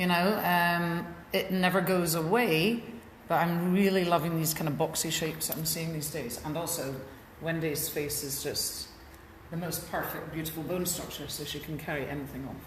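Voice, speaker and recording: A woman in a Scottish accent with a fairly low pitch, fairly even intonation and a moderate pace, amid audible room echo and noticeable background noise. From Scotland. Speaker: hairdresser and salon owner. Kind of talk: live haircut demonstration. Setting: hair salon, livestream.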